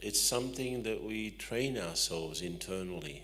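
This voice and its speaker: A man with an Australian accent talks at a fairly slow pace, with audible room echo. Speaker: spiritual teacher and management consultant. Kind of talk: talk to audience.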